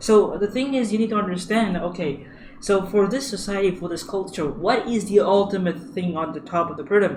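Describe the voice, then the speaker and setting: A high-pitched man at a fairly quick pace, with audible room echo. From India. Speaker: user experience designer. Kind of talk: tutorial. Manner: halting, many fillers and repeats.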